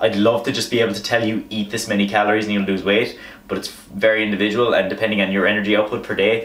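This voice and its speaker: A man with an Irish accent talks very fast in a fairly low, flat monotone. Noticeable background noise and audible room echo are present. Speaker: fitness vlogger. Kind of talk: tutorial.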